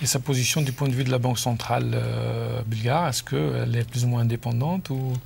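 A man's fairly quick delivery with hardly any pauses and very even loudness, over light background noise. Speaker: journalist; TV show host or guest. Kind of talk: TV interview. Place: studio. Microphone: lapel.

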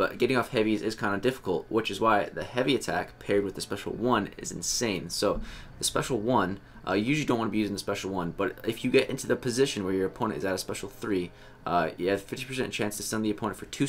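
Talking at a very fast pace, a man with a fairly low voice uses ordinary pitch variation over light background noise. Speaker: gaming streamer. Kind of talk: game guide commentary. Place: home room. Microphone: headset.

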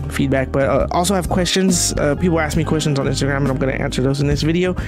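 Clear music plays in the background. Over it, a man talks very fast. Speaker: artist vlogger. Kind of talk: casual vlog chat. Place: home room. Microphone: studio mic.

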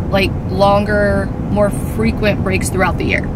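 The speech comes at a fairly slow pace, dry with no echo, against loud background noise. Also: woman. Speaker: family vlogger. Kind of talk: casual vlog chat. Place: car. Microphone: phone near.

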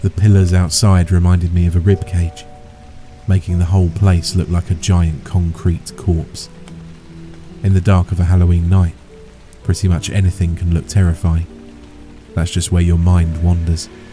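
Set against music in the background, the voice moves at a moderate pace with long, frequent pauses, very even loudness and fairly even intonation, in a dry sound with no echo. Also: man, very deep, low pitch for a man. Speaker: horror story narrator. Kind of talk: story narration.

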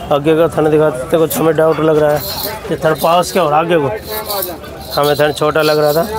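Clear background noise sits behind a man whose voice has little pitch movement. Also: fairly high pitch for a man, fairly quick pace.

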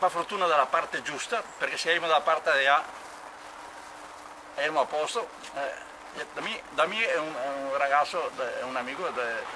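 Over noticeable background noise, a man with a fairly high pitch and ordinary pitch variation talks at a fairly quick pace, broken by long, frequent pauses. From Veneto, Italy. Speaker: war eyewitness; witness. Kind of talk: oral history interview. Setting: outdoors. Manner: halting. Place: open country. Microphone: camera far.

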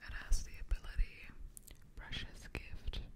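A woman whispers, moving at a fairly slow pace. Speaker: Pokemon ASMR content creator. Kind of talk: ASMR card-opening, casual talk to camera. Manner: whispered, soft. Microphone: studio mic.

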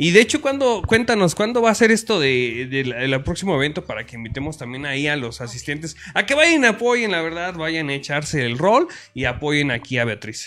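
At a moderate pace, a man talks at a fairly high pitch with very wide pitch swings. His loudness swings in a big way too. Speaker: online show host. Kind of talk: casual interview. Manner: rough, blunt delivery.

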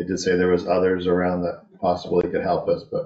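Someone talks at a fairly quick pace with audible room echo and light background noise. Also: man. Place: office. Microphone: webcam.

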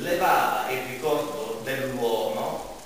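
A man's voice carries strong room echo along with light background noise. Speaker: speaker. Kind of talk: public talk on theatre. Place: stage. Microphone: camera far.

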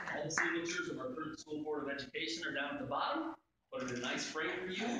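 There is strong room echo and noticeable background noise. Over it a man talks in a fairly high voice with ordinary pitch variation. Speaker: school superintendent. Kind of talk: ceremonial presentation speech. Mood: warm, respectful. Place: hall. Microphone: camera far.

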